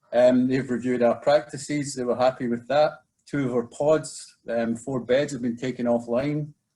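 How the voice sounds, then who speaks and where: A man with a Scottish accent, his dark, mellow voice held in a monotone, flat intonation. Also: medium pitch for a man. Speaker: residential treatment program manager. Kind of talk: webinar presentation. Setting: video webinar. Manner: fast.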